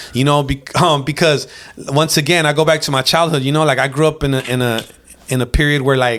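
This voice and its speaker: His intonation is monotone and flat. The man talks at a fairly quick pace. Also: fairly high pitch for a man. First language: Spanish. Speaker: rapper. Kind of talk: casual chat.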